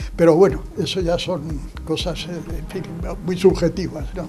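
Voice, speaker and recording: A man speaks at a moderate pace with a high-pitched voice. There is noticeable background noise and audible echo in the room. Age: 80s+. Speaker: son of an artist, speaking at exhibition. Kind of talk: interview at exhibition opening. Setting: art gallery. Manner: halting.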